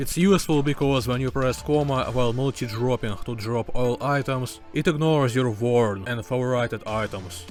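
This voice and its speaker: A non-native accent at a moderate pace, with ordinary pitch variation and noticeable background noise. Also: man. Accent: non-native English, choppy pronunciation. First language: not English. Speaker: gaming youtuber. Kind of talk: tutorial.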